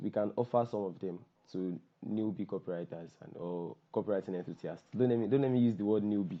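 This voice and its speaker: A man with a Nigerian accent talks in a fairly low pitch with ordinary pitch variation. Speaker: copywriter and workshop host. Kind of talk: online workshop introduction. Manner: casual, repetitive.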